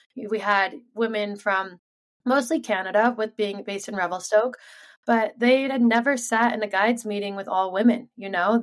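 A woman with an ordinary speaking voice, fairly high in pitch, with ordinary pitch variation and an American accent. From Sun Valley, Idaho, US. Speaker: pro freeskier. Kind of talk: interview. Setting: video call.

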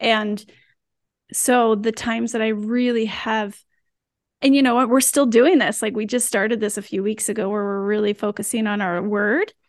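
An unremarkable speaking voice, this woman speaks at a moderate pace with a fairly high pitch and fairly even intonation. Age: 40s. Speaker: wellness app team member. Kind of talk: casual conversation.

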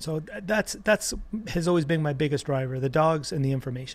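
A fairly quick, somewhat breathy man's voice, fairly high-pitched, with ordinary pitch variation. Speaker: animal activist and author. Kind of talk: interview.

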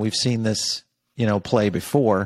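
A normal speaking voice from a man at medium pitch and moderate pace comes through dry and close with no echo, on a very clean recording with a silent background. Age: 50s. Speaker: journalist and media company CEO. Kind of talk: interview.

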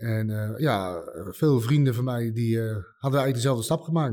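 Over a very clean recording with a silent background, a man talks at a fairly quick pace. His medium-pitched voice has a dark, mellow tone and fairly even intonation. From Netherlands, Utrecht area. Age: 40s. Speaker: war veteran. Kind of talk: interview testimony. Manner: halting, many hesitations and repeats.

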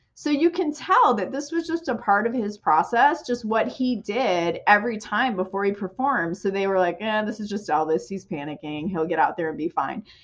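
A woman's medium-pitched voice with very wide pitch swings and hardly any pauses, over noticeable background noise. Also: moderate pace. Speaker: sales director. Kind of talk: interview conversation.

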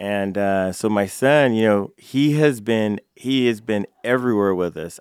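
This man has an ordinary speaking voice with a fairly low pitch and ordinary pitch variation. The sound is dry and close with no echo, in a very clean recording with a silent background. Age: 50s. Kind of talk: casual interview. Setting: studio.

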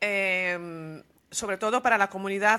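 A woman's bright, sharp voice at medium pitch with fairly even intonation, on a very clean recording with a silent background. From Venezuela. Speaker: podcast host. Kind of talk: interview.

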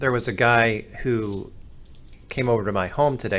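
A man keeps his intonation fairly even at a moderate pace. The room adds an audible echo. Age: 30s. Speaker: podcast producer. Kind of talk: casual chat.

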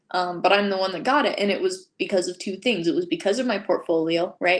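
Recorded very cleanly against a silent background, a woman with a normal speaking voice talks at medium pitch and a fairly quick pace with ordinary pitch variation. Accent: American. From Utah. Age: 20s. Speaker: hand lettering artist. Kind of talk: interview.

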